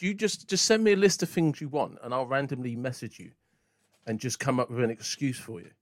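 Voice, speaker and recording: In a very clean recording with a silent background, a man speaks at a fairly quick pace with very wide pitch swings and big swings in loudness. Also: medium pitch for a man. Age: 40s. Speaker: podcast host. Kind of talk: casual chat.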